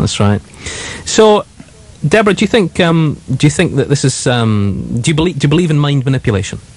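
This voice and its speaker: A man's fairly quick, fairly high-pitched speech with very wide pitch swings and very even loudness, over noticeable background noise. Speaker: radio presenter. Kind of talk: live radio presenter talk.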